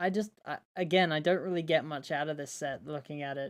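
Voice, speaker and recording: A woman speaks in a very deep, low voice at a fairly slow pace. Her pitch varies in an ordinary way, and the recording is very clean with a silent background. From Britain. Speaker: YouTuber reviewing toy sets. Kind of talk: livestream commentary. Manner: hesitant, many fillers and restarts.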